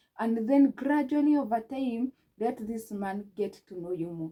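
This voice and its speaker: A woman with a Kenyan accent speaks at a fairly high pitch in a dark, mellow tone. Her voice is somewhat breathy, with ordinary pitch variation. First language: Kikuyu. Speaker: relationship advice vlogger. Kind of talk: advice talk to camera.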